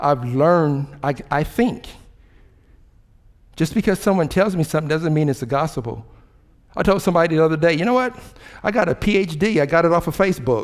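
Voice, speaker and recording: Speaking fairly quickly with an American accent, a man uses lively intonation at a fairly high pitch, broken by long, frequent pauses. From Cincinnati, Ohio. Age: 60s. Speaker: city mayor. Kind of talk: motivational speech. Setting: stage with audience. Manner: animated.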